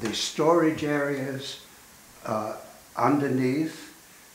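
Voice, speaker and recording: Recorded with noticeable background noise and audible room echo, a man talks in a fairly high pitch. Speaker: architect. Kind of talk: interview reminiscence. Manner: halting.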